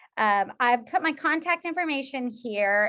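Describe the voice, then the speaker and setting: A woman's high-pitched, bright, sharp voice with lively intonation at a fairly slow pace, set against a quiet background. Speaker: social work professor. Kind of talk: lecture.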